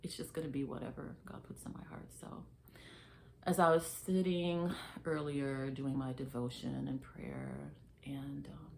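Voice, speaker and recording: With audible room echo, a woman speaks at a fairly slow pace, her loudness swinging widely. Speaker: faith vlogger. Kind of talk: casual faith talk to camera. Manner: hesitant, filler words.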